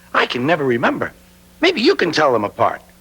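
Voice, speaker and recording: A man's put-on character voice, fairly high in pitch, delivered at a very fast pace. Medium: short film. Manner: chatty, whimsical.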